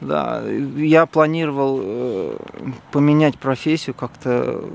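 The pitch moves in an ordinary way, and the sound is dry with no echo. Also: man. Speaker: interviewee. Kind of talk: interview answer. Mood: candid, slightly uneasy. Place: open country. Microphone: phone near.

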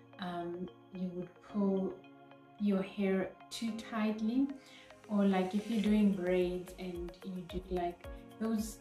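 Faint music plays in the background as a woman of medium pitch speaks very slowly in a monotone, flat manner, with audible room echo. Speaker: natural hair vlogger. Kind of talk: casual talk to camera. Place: home room. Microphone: phone near.

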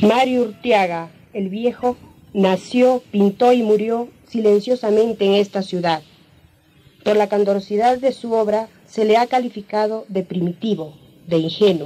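This woman has an ordinary speaking voice, fairly high in pitch, with ordinary pitch variation at a fairly slow pace. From Peru. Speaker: painter. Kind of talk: documentary narration.

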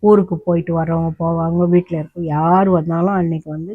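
A woman speaks in a fairly low pitch with flat, monotone intonation. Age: 70s. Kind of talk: casual talk to camera. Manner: natural, unscripted storytelling.

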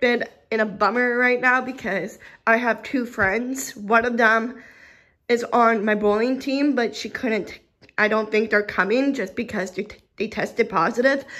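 Her tone bright and sharp, a woman speaks at a fairly slow pace with fairly even intonation. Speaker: vlogger. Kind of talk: casual vlog chat. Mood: a little sad. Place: home room. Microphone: phone near.

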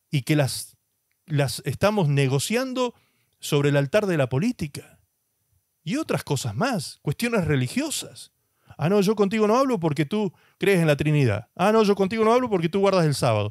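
A man speaks at a high pitch with very wide pitch swings. The sound is dry with no echo. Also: moderate pace, quiet background. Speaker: pastor. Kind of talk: sermon. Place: studio. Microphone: handheld.

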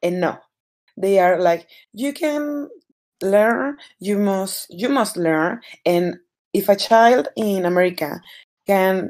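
A woman speaks very slowly in a Spanish accent. Her speech has long, frequent pauses. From Mexico. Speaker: podcast guest. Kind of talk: casual chat. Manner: interrupts often.

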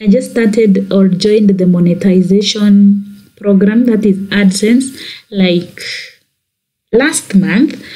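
A woman's somewhat breathy, dark and mellow voice at medium pitch, very slow with long, frequent pauses, ordinary pitch variation and very even loudness. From Kenya. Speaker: YouTuber. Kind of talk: tutorial.

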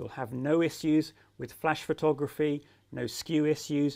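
A man with a fairly high pitch and a slightly mellow tone talks at a moderate pace, with vocal fry.

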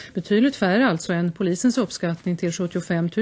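The speaker is a woman with ordinary pitch variation. She keeps a moderate pace. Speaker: news anchor. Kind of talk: news reading. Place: studio. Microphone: studio mic.

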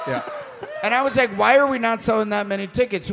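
The pace is fairly quick. Light background noise can be heard. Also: man. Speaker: podcast co-host. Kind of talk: comedic live podcast banter. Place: stage.

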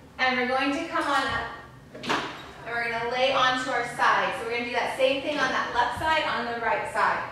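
A woman's raised, projected voice at a high pitch and moderate pace, fairly even in intonation, with strong room echo and light background noise. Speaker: fitness instructor. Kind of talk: guided reformer Pilates class, instructing live exercises. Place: gym.

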